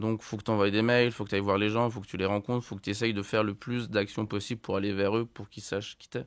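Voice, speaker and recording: Over a very clean recording with a silent background, a man talks in a flat monotone at a very fast pace with hardly any pauses and big swings in loudness. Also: fairly low pitch for a man. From France, Haute-Savoie. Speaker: musician. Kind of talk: podcast interview. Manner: casual, many fillers.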